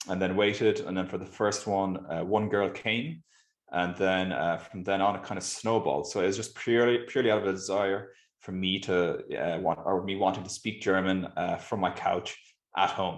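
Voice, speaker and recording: Here is a man with an Irish accent. His voice is very deep and low, with fairly even intonation. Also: moderate pace. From Ireland, Galway. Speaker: startup founder. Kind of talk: interview.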